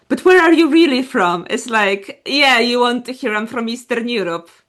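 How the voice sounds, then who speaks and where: With a Polish accent, a woman talks at a moderate pace in a high pitch with lively intonation. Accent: Polish accent noticeable. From Poland. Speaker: podcast co-host. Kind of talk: casual chat.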